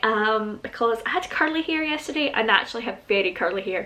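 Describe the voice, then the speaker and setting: A woman with a Scottish accent and lively intonation. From Scotland. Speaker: YouTuber. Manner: fast talker.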